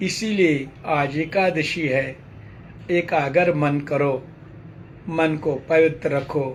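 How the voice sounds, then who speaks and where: Audible room echo surrounds a man with a fairly high pitch who speaks at a very slow pace with fairly even intonation. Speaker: spiritual teacher. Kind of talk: sermon.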